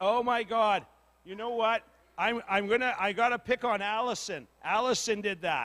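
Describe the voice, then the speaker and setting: A man talks loudly at a moderate pace, his pitch high. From northern Manitoba, Cree community. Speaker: community meeting facilitator. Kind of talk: casual public address at community meeting. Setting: community hall with audience, PA microphone. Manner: animated, joking.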